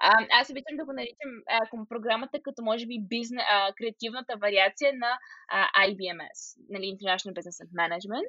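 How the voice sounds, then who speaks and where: Fairly quick and fairly high in pitch, a woman speaks with ordinary pitch variation and big swings in loudness. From Bulgaria, Stara Zagora. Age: 20s. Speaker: final-year university student. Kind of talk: interview. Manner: halting, many filler sounds.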